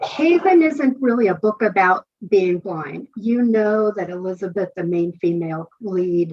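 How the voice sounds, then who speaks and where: At a fairly slow pace with hardly any pauses, a woman talks in a plain, everyday voice at medium pitch. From Northern California. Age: 60s. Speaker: author. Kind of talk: interview. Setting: podcast.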